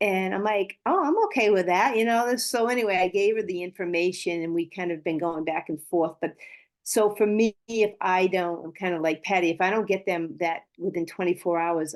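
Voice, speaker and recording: A woman talks at a moderate pace with hardly any pauses, in an ordinary speaking voice. Her pitch is medium, with ordinary pitch variation. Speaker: network marketing team member. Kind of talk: sharing on a team call.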